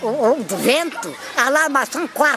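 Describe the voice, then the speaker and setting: A woman's voice with lively intonation over crowd noise in the background. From Penhascoso, Mação, central Portugal. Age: 80s+. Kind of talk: interview answer.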